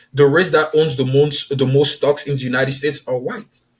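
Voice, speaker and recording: The speaker is a man. He has an Ivorian accent. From Ivory Coast. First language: French. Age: 30s. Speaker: author and publisher. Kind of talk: podcast interview.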